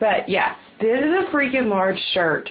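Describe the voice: Speech comes at a fairly slow pace in a Southern US accent. The intonation is lively. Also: woman.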